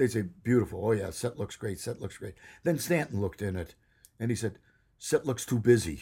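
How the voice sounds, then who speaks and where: In a medium-pitched voice with an American accent, a man speaks with a dark, mellow tone that is somewhat breathy, in a very clean recording with a silent background. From US Midwest, Chicago. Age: 80s+. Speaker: TV director and producer. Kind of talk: casual interview, storytelling. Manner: halting, many fillers.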